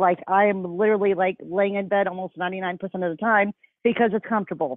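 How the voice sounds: Speaking fairly quickly with an American accent, a woman has an unremarkable speaking voice, a medium pitch and fairly even intonation.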